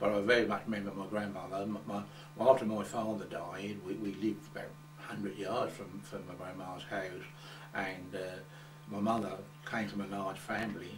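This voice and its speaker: A man with a fairly low voice and an Essex accent talks at a fairly quick pace, leaving long, frequent pauses and using ordinary pitch variation, with music in the background and audible room echo. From England, Coggeshall, Essex. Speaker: oral history interviewee. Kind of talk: oral history interview. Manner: halting, many repetitions.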